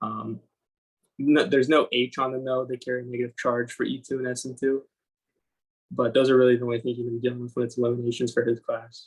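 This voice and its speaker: At a very fast pace, a man speaks with a medium pitch, a somewhat breathy voice and monotone, flat intonation. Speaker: student tutor. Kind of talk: tutorial.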